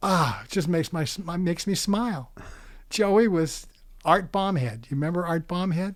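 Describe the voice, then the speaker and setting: This man's voice is high-pitched with ordinary pitch variation. He speaks at a moderate pace. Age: 70s. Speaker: retired adult film actor. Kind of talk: interview. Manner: halting.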